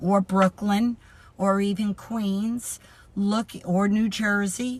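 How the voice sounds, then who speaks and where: Somewhat breathy, a woman talks with a New York accent. Her intonation stays fairly even. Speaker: podcast host. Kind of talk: educational podcast monologue.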